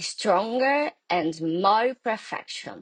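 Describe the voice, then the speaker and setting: The sound is dry and close, with no echo. A woman with a Brazilian Portuguese accent speaks at a very slow pace. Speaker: law workshop presenter. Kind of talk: recorded workshop lecture. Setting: pre-recorded session, not live. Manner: halting, non-native phrasing.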